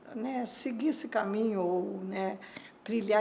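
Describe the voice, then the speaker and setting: A woman's medium-pitched voice amid noticeable background noise and audible room echo. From southern Brazil, Porto Alegre. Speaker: energy industry association president. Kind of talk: interview.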